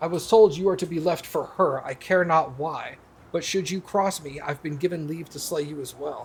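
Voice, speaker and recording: A man growls in a put-on character voice, pitched fairly high and delivered at a moderate pace. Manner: snarling; menacing.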